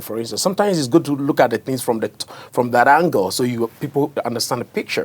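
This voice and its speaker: With pitch that rises and falls in an ordinary way, a man talks in a mid-range register. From Ghana. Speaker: author. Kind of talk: interview answer.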